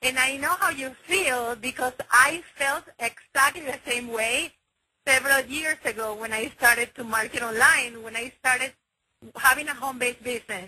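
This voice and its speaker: A woman with a Spanish accent speaks at a moderate pace in a raised, projected voice, high in pitch with ordinary variation. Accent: Spanish-accented English (Spanglish). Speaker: online marketing team leader. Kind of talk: motivational conference call talk. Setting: conference call. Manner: enthusiastic, with many filler words.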